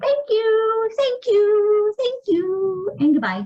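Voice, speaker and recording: A woman puts on a squeaky character voice at an extremely high pitch. She speaks at a very slow pace. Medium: read story.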